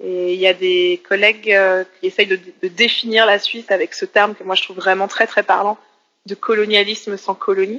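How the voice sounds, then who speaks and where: A woman with a bright, sharp tone speaks in a flat monotone at a moderate pace, the sound dry and close with no echo. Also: medium pitch for a woman. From Switzerland, Geneva. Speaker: political science lecturer and activist. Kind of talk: interview. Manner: halting.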